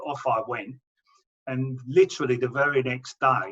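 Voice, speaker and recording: A man with an English accent, medium pitch and fairly even intonation. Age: 60s. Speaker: cancer patient. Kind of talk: testimony. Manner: halting, with repetitions.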